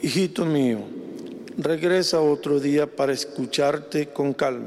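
A man talks at a very slow pace and fairly high pitch over noticeable background noise. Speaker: plays the bishop and other parts in the role-play. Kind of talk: dramatic role-play reading.

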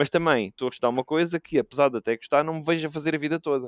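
A man speaks very fast with ordinary pitch variation, the sound dry and close with no echo. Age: 20s. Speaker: esports caster. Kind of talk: casual chat.

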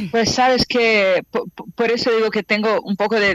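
A woman with a Portuguese accent and fairly high pitch, in a dry, close sound with no echo. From Brazil, Rio de Janeiro. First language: Portuguese (speaking Spanish). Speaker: actress, director and casting coach. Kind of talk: remote radio interview. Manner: halting.

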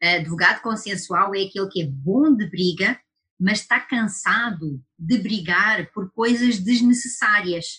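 The tone is bright and sharp, with ordinary pitch variation. Delivery is fairly slow with hardly any pauses. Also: woman. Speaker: lawyer and webinar host. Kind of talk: webinar discussion. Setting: online webinar.

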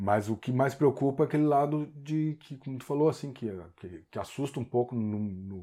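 With ordinary pitch variation, the man speaks in a dark, mellow tone. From Porto Alegre, southern Brazil. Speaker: long-time local resident. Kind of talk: interview.

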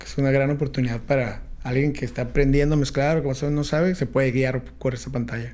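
Speaking at a very fast pace with hardly any pauses, a man uses a monotone, flat intonation at a medium pitch, with audible room echo. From San Diego/Tijuana border region. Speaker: DJ and music producer. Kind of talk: casual interview. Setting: studio.

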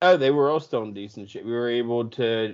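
A man with a plain, everyday voice speaks at medium pitch. His pace is moderate and his pitch variation ordinary. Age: 30s. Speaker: podcast co-host. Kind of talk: casual chat.

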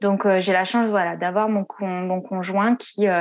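Her pitch at a medium level, this woman keeps her intonation fairly even. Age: 30s. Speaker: business coach. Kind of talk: interview. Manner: hesitant, many fillers.

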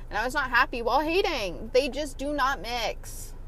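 In an American accent, a woman uses a raised, projected voice with a bright, sharp tone, moderate pace, and lively intonation, with audible room echo in the recording. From US South, Atlanta area. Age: 20s. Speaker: podcast host. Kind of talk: personal monologue. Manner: casual, filler-heavy.

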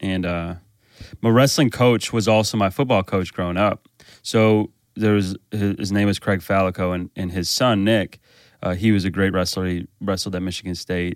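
In an American accent, a man talks at a moderate pace with a fairly low pitch and fairly even intonation, the recording very clean with a silent background and a dry, close sound with no echo. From Chicago, US Midwest. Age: 30s. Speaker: pastor. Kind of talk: casual interview.

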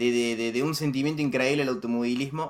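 A man speaks in a Rioplatense accent at a medium pitch with ordinary pitch variation. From Argentina. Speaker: motorsport commentator. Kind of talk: casual chat. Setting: voice call.

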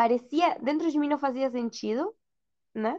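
Speaking at a moderate pace in a Spanish accent, a woman uses a high pitch with ordinary pitch variation. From Argentina, Buenos Aires. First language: Spanish (speaking Portuguese). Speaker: mother sharing birth story. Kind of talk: personal testimony in casual interview.

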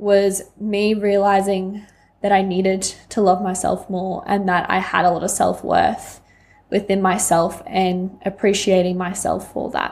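A woman talks rather slowly, her intonation flat and monotone. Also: medium pitch for a woman. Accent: Australian. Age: 20s. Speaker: podcast host, life coach. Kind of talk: personal monologue.

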